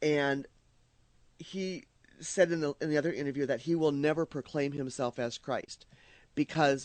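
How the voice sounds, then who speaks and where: A man with an American accent talks with fairly even intonation. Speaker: radio host. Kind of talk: casual chat. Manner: halting, many fillers and repeats.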